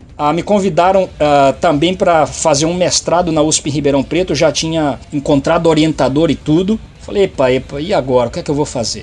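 Noticeable background noise sits behind speech that has ordinary pitch variation and hardly any pauses. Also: man, fairly high pitch for a man. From Brazil, São Paulo state. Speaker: biomedical scientist. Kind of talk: interview.

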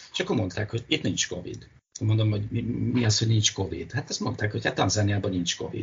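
This man's voice is fairly low, with ordinary pitch variation. He talks at a very fast pace. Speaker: marine biologist. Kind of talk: interview. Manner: halting.

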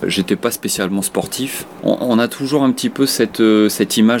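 A man keeps a moderate pace, his pitch varying in an ordinary way, while noticeable background noise runs beneath him. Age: 40s. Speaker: freediving instructor and competitive freediver. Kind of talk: interview testimony.

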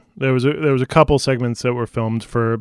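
A man with a normal speaking voice keeps his intonation fairly even, recorded with dry, close sound and no echo. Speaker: film podcast guest. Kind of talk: casual chat. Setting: video call.

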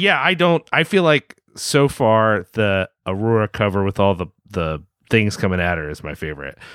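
Recorded dry and close with no echo, a man talks at a moderate pace and fairly low pitch, his pitch swinging very widely. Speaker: podcast host, website editor. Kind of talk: casual chat.

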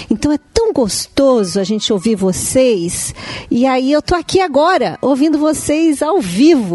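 A high-pitched woman's voice, fairly slow, with very wide pitch swings and very even loudness, over noticeable background noise. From Brazil. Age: 50s. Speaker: listener visiting studio. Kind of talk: casual chat.

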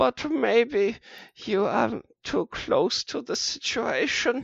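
A put-on character voice in a European accent moves at a very slow pace with a fairly high pitch. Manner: evil, menacing, persuasive.

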